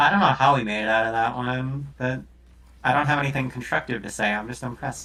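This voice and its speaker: A man at medium pitch talks very fast with fairly even intonation and a bright, sharp tone. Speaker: gaming coach streamer. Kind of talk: coaching session reviewing gameplay. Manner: soft-spoken.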